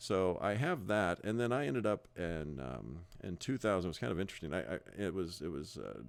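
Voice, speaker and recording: With a Midwestern accent and vocal fry, a man speaks fairly quickly at a very deep, low pitch on a very clean recording with a silent background. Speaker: real estate broker. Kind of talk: sales pitch. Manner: halting, many fillers and repeats.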